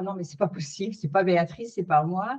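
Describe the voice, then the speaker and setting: A woman speaks with ordinary pitch variation. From France. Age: 60s. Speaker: career changer, interviewee. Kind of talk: testimony. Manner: halting, many hesitations.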